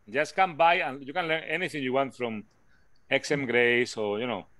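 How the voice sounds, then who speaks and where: Speaking in a Spanish accent, a man with a fairly high pitch and a bright, sharp tone uses ordinary pitch variation and long, frequent pauses. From Spain. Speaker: physics lecturer. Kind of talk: online class discussion.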